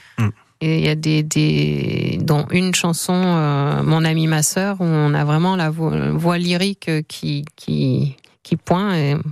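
At a very slow pace, a woman speaks with very even loudness. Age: 50s. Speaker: singer-songwriter and teacher. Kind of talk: radio interview.

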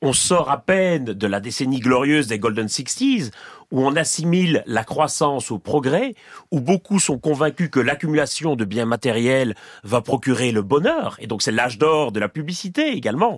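At a moderate pace, a man with a fairly high pitch speaks with lively intonation. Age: 40s. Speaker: professor. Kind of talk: interview. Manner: halting.

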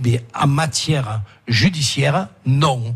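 A somewhat breathy voice with ordinary pitch variation. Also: man. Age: 60s. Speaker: senator. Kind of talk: radio interview. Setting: restaurant, live broadcast.

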